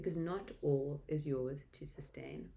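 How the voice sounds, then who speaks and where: A woman with a South African accent has a dark, mellow tone and ordinary pitch variation. Room echo is audible. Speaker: tarot reader. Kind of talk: tarot reading.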